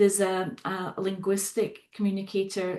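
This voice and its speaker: A woman is speaking. She has a Scottish accent. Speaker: psychotherapist and facilitator. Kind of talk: podcast interview.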